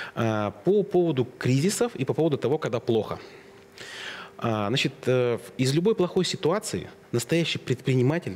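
A man speaks at a moderate pace and a medium pitch, with long, frequent pauses. His pitch swings very widely while his loudness stays very even. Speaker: IT business owner. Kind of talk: interview conversation.

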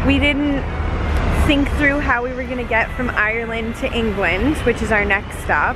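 A woman talks at a moderate pace, with a dry sound with no echo and noticeable background noise. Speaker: travel vlogger. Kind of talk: casual vlog chat. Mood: frustrated but upbeat. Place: street. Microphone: phone near.

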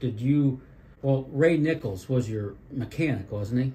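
A man talks at a fairly slow pace in a dark, mellow tone that is somewhat breathy, with ordinary pitch variation. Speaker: history video host. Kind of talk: interview questions.

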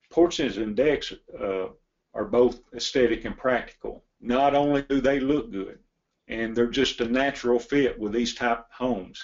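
In a Tennessee accent, a man talks at a moderate pace. His pitch is medium, with ordinary pitch variation. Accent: Southern US (Tennessee). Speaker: log home company executive. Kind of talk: webinar presentation. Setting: online webinar from his office. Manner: halting.

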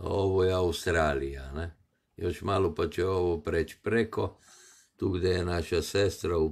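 A man speaks with a very deep, low pitch and a somewhat breathy voice. His pace is fairly slow and his intonation fairly even. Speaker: live streamer. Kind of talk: casual live stream commentary. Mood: amused, dismissive. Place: home room. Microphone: phone near.

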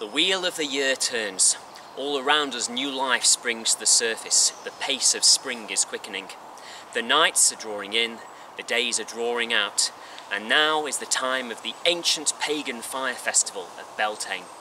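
Noticeable background noise sits under a voice with ordinary pitch variation. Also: man, moderate pace. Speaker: presenter. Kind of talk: documentary narration. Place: forest.

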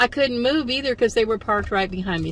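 A woman's voice comes through with light background noise and a dry sound with no echo. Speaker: solo road-trip vlogger. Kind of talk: casual vlog chat. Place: car. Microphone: phone near.

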